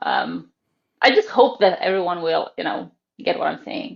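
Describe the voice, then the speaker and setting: A woman with a Croatian accent talks at a moderate pace. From Croatia, Zagreb. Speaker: ballet teacher. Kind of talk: casual interview chat. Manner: hesitant, many fillers.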